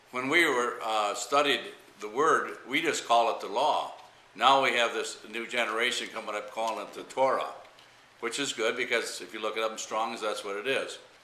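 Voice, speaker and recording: With an American accent, the voice rises and falls a lot in loudness amid noticeable background noise and audible room echo. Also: man, moderate pace. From Michigan. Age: 60s. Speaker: pastor. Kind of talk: interview. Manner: halting, many fillers.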